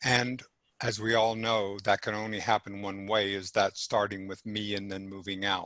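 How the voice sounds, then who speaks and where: Bright and sharp in tone, a man's fairly low voice holds a monotone, flat intonation at a moderate pace. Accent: American. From US South. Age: 70s. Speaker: men's group facilitator and former marine officer. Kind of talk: panel discussion. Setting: video call.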